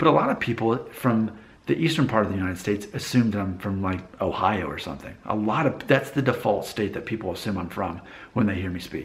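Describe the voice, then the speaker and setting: A man talking very fast, his voice somewhat breathy with lively intonation and audible room echo. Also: fairly low pitch for a man. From northeast Alabama (Appalachian region). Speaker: vlogger. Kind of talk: casual monologue.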